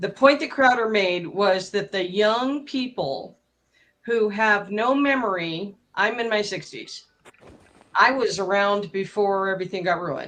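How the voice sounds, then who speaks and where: A woman's plain, everyday voice at a medium pitch, with ordinary pitch variation and a fairly slow pace. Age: 60s. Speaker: debate participant. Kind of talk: live debate.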